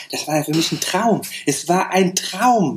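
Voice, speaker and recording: A man talks fairly slowly at a high pitch, his intonation shifting an ordinary amount. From Saarland, Germany. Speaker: hairdresser and educator. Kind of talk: interview.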